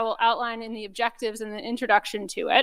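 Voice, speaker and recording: A woman's high voice at a fairly quick pace. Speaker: research data program speaker. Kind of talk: conference talk. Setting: conference room with audience, recorded. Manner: loud.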